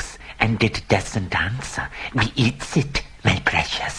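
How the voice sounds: Someone reads the lines in a natural reading voice.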